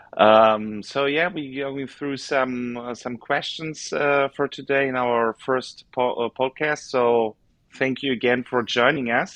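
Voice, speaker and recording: With a German accent, a man speaks fairly slowly at medium pitch with ordinary pitch variation. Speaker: podcast host. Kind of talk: interview. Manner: halting.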